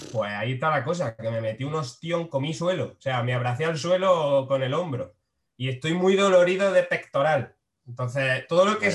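Intonation rises and falls in a lively way. The man's delivery moves fairly quickly. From Spain, Frailes, Jaén province. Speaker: comedian. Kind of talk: casual chat. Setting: video call.

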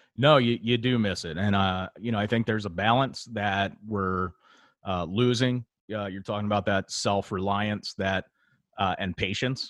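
An ordinary speaking voice: a man with a fairly low pitch and fairly even intonation at a moderate pace, in a dry, close, echo-free recording that is very clean with a silent background. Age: 30s. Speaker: podcast co-host. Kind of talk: casual chat.

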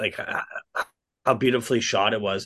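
A plain, everyday voice at a moderate pace, with ordinary pitch variation and a quiet background. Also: man. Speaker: podcast co-host. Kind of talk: casual chat.

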